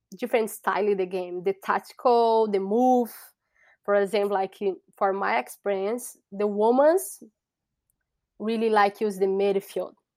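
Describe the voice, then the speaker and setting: At a fairly slow pace, a woman talks with a Brazilian Portuguese accent on a very clean recording with a silent background. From Brazil, Sao Paulo. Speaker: soccer referee. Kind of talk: interview. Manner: halting.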